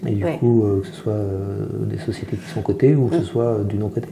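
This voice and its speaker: Over noticeable background noise, a man talks at a moderate pace and a fairly low pitch. His intonation is lively. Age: 50s. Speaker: entrepreneur. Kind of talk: casual chat.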